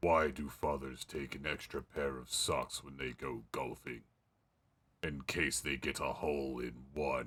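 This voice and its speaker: A man speaks at a moderate pace in a raspy, put-on character voice pitched very deep and low. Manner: stern, dry delivery of a dad joke.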